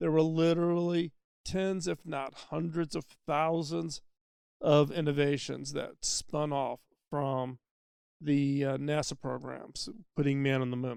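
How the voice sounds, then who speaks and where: A man at a fairly high pitch, fairly slow pace and fairly even intonation, with a normal speaking voice. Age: 60s. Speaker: podcast host. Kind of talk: solo podcast monologue. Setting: mobile studio. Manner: conversational with fillers.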